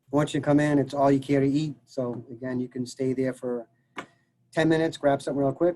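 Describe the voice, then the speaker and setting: Fairly quick and flat, a medium-pitched man in a Massachusetts accent speaks in a monotone. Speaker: college dining services director. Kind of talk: casual interview Q&A. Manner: halting, many fillers.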